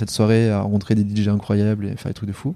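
Fairly low in pitch, a man's dark, mellow voice comes through on a very clean recording with a silent background. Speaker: startup founder and CEO. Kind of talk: casual interview.

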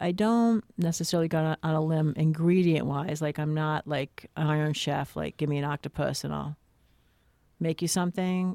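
Her voice is very deep and low with a dark, mellow tone as the woman speaks at a moderate pace. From New Jersey. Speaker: graphic designer. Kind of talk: casual chat. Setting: studio.

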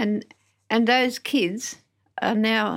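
In a very clean recording with a silent background, a woman speaks at a fairly high pitch. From Western Australia, Narrogin in the Southwest. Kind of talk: interview, life story. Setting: studio.

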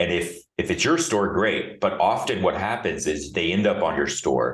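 A man speaks with an American accent. The room echo is audible. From United States. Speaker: beauty tech company executive. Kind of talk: interview.

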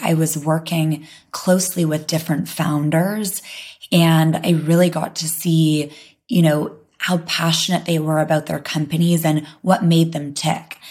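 This woman's voice is fairly low-pitched and somewhat breathy. She talks at a fairly slow pace with fairly even intonation. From London. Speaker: health tech startup co-founder. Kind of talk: interview conversation.

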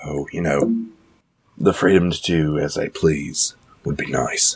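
In a put-on character voice, a man speaks slowly at an extremely low pitch, with a husky, rough edge and fairly even intonation.

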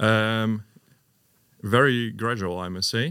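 A man speaks with a Dutch accent in a bright, sharp tone. His pitch varies an ordinary amount over a very clean recording with a silent background. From Netherlands, Hengelo. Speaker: design teacher and PhD student. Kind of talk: interview. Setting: studio.

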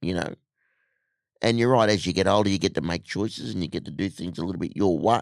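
Very deep and low, a man's animated voice with an Australian accent and vocal fry races at a very fast pace against a quiet background. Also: ordinary pitch variation. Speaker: motivational speaker. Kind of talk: casual chat.

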